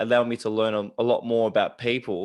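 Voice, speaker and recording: A man with an Australian accent speaks at a fairly quick pace. The background is quiet. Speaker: podcast host. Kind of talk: casual interview chat.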